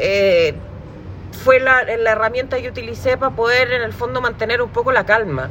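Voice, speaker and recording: Moderate-paced speech in a Chilean accent. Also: woman. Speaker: podcast host. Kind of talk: casual chat.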